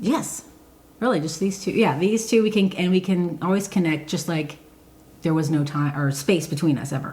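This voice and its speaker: Fairly low in pitch, a woman's voice keeps to a moderate pace. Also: ordinary pitch variation. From Michigan, raised in Georgia from third grade. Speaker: podcast co-host. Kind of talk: casual chat. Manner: halting, many fillers.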